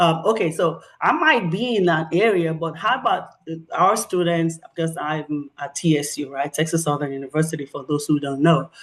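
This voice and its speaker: At a moderate pace, a woman talks with a Nigerian accent. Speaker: professor and researcher. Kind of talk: presentation. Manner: halting.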